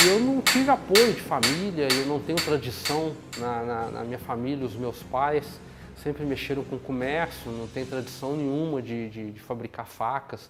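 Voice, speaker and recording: The speech moves at a moderate pace with ordinary pitch variation and big swings in loudness over noticeable background noise. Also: man, medium pitch for a man. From Brazil, Minas Gerais (São João del Rei). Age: 40s. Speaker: knifemaker. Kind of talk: documentary interview. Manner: halting, repeats words.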